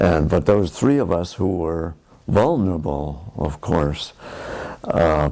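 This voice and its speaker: With noticeable background noise behind him, a man with an American accent speaks at a very slow pace in a very deep, low pitch. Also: lively intonation. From US Midwest, Milwaukee, Wisconsin. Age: 80s+. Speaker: war veteran. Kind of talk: oral history interview. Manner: halting, many fillers.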